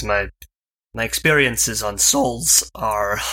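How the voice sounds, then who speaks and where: A man puts on a character voice that is raspy and fairly low. He speaks at a very slow pace. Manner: hesitant, looking away.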